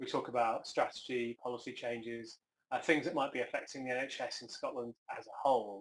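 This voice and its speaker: Here a man with an English accent talks at a fairly quick pace. His loudness swings widely. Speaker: health service chief executive. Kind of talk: conference talk. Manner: hesitant, with fillers.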